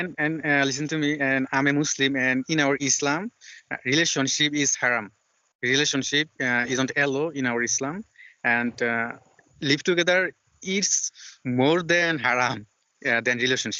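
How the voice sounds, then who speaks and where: With a Bengali accent, a man talks at a moderate pace in a fairly high pitch, with very even loudness and ordinary pitch variation. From Bangladesh. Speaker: English learner, channel host. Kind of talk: casual chat. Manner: halting.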